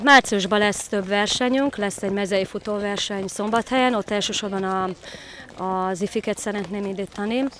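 The sound is dry, with no echo at all. Light background noise sits under a moderate pace. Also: woman. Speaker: athletics coach. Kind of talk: interview. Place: open country. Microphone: handheld.

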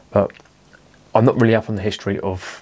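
This man's voice sits fairly low in pitch, with monotone, flat intonation. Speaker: beer reviewer. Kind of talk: casual vlog chat. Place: home room.

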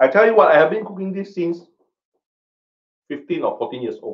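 A man's fairly high voice at a moderate pace

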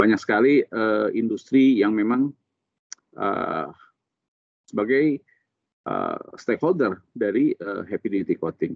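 A man at a fairly slow pace with long, frequent pauses, in a dry sound with no echo against a quiet background. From Sukabumi, West Java, Indonesia; West Java, Indonesia. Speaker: coating technical expert and instructor; instructor. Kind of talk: technical interview. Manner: casual, explanatory. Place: office. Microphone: video call.

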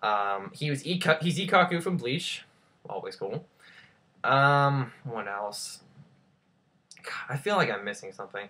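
With a bright, sharp tone and lively intonation, a man talks at a fairly slow pace, leaving long, frequent pauses. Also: medium pitch for a man.

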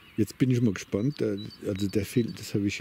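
A somewhat breathy voice with a dark, mellow tone moves at a moderate pace. The sound is dry with no echo, over light background noise. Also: man. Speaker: vlogger on a walk. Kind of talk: casual monologue while walking. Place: open country.

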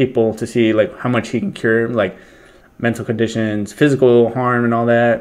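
Man at a moderate pace with fairly even intonation, quiet background. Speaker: reaction commentator. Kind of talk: casual reaction commentary. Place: home room. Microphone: webcam.

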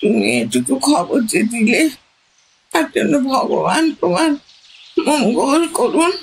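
In a shaky put-on character voice, the speaker moves at a very slow pace with very wide pitch swings. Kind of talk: radio drama. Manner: trembling, emotional, tender.

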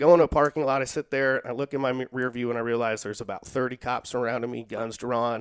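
Over a quiet background, a man talks very fast at medium pitch with hardly any pauses, fairly even intonation and big swings in loudness. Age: 40s. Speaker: social worker and jiu-jitsu practitioner; podcast guest. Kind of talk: casual interview chat; interview answer, storytelling. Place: home room. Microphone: headset.

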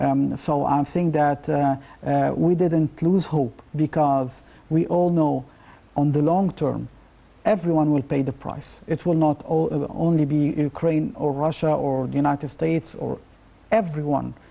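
In a dark, mellow tone, a man speaks at a fairly slow pace. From Egypt. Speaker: professor of geopolitics. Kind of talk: TV interview. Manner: halting. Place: studio. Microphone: lapel.

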